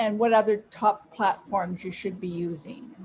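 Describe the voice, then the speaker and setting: A woman's somewhat breathy voice at a fairly slow pace, with ordinary pitch variation. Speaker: social media influencer giving a talk. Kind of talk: presentation. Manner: deliberately slow.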